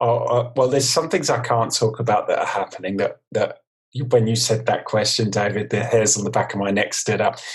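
With a London accent, a man speaks at a fairly quick pace in a somewhat breathy voice with fairly even intonation. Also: medium pitch for a man. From East London, England. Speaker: design consultant. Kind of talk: casual interview chat. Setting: video call.

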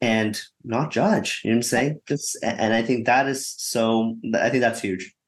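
A man with a plain, everyday voice at medium pitch speaks at a fairly slow pace with fairly even intonation. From Canada. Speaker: investor. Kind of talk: panel discussion.

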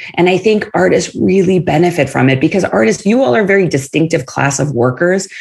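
A woman with lively intonation. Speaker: author and consultant for artists. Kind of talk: interview conversation.

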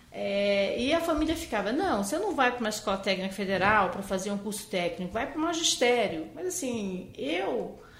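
There is noticeable background noise and audible room echo as a woman with a fairly high pitch speaks at a moderate pace, her pitch swinging very widely. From Brazil, Amazonas (Manaus). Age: 50s. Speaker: physician. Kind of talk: interview.

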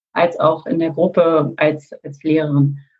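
A woman speaks in a fairly low pitch with a somewhat breathy quality. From Germany, Berlin. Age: 50s. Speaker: coach and former corporate lawyer. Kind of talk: podcast interview.

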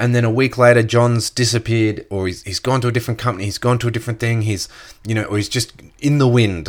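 A man with an Australian accent talks fairly quickly at a medium pitch with fairly even intonation. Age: 30s. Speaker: podcast host, network marketer. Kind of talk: casual solo podcast monologue.

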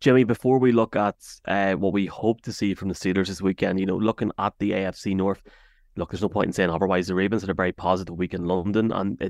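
A man's very fast speech with an Irish accent, fairly low in pitch and fairly even in intonation, dry and close with no echo over a quiet background. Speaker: sports podcast host. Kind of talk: casual chat.

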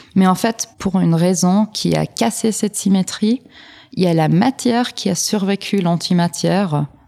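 A woman's medium-pitched voice, dark and mellow in tone, with ordinary pitch variation and very even loudness, in a dry, close sound with no echo. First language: not French (speaking French). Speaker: particle physics PhD student. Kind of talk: interview. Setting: science film festival. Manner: halting.

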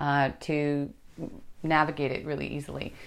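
A woman speaks at a moderate pace in a very deep, low voice. The background is quiet. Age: 50s. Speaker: podcast host. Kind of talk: scripted narration; interview.

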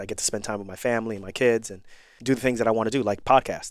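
Very fast speech from a man with an American accent, medium in pitch, fairly even in intonation, on a very clean recording with a silent background. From New York and Irvington, New Jersey. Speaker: trauma surgeon and podcast host. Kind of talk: interview conversation.

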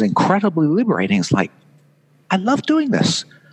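Noticeable background noise is present. The speaker has a slight British accent. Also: man, dry, close sound with no echo. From England. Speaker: conference designer and author. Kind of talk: casual interview chat. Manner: halting, hesitant.

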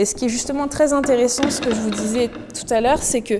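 Over noticeable background noise, a woman with a high pitch speaks at a fairly quick pace with ordinary pitch variation. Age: 20s. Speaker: costume maker and artisan. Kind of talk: casual interview. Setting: in her workshop.

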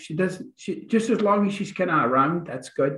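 A man speaks with a Scottish accent. His pitch is high. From Scotland, Glasgow. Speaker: author and relationship coach. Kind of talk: interview.

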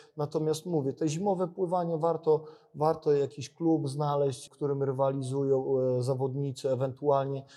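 With a fairly high pitch, a man talks at a moderate pace, his loudness very even and his intonation fairly even. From Poland, Biała Podlaska. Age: 40s. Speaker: winter swimmer and sports scientist. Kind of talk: casual interview. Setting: university sports facility. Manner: repetitive, halting.

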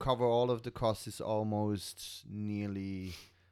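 In a very clean recording with a silent background, the speech comes at a very slow pace with a German accent and fairly even intonation. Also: man. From Germany. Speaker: metal musician and stage technician. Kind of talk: casual chat. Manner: halting.

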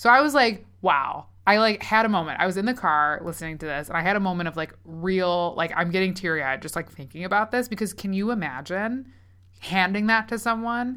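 A sing-song, animated woman's voice of medium pitch, bright and sharp in tone, with lively intonation. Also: very clean recording, silent background. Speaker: podcast co-host. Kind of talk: casual chat. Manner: sing-songy.

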